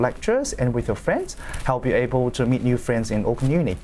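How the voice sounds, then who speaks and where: A man speaks with a Chinese accent. His pace is very fast. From China. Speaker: law student. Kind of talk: panel discussion. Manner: halting.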